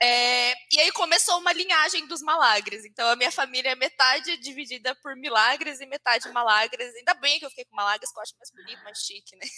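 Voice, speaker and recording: A woman's high-pitched, raised and projected voice at a fairly quick pace, with lively intonation, big swings in loudness, and a dry, close sound with no echo. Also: hardly any pauses. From Brazil, Santa Isabel (São Paulo state). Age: 20s. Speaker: social media content lead. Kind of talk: casual interview.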